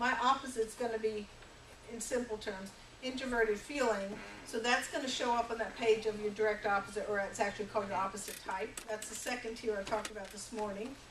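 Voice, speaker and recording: Through noticeable background noise, a woman with a fairly high voice speaks very fast with fairly even intonation. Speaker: workshop facilitator. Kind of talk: workshop presentation.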